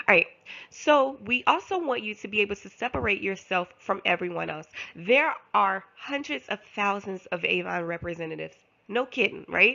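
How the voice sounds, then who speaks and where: Her medium-pitched voice is animated, with very wide pitch swings, big swings in loudness and vocal fry. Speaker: direct sales representative and team leader. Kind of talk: online sales training talk. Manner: fast.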